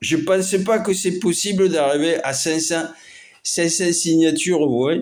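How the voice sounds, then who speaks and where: A man's fairly high voice at a very slow pace, with audible room echo. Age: 50s. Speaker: amateur artist and vlogger. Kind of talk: casual vlog monologue. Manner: halting, many hesitations.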